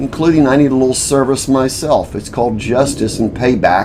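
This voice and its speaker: The man's voice carries audible echo from the room. Behind him there is noticeable background noise. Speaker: self-made video commentator and inventor. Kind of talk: casual monologue to camera. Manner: slow.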